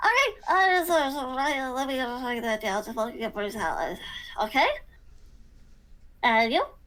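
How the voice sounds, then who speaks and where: A woman does a put-on character voice with a high pitch. She leaves long, frequent pauses. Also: moderate pace. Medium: actual play. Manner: bubbly, friendly.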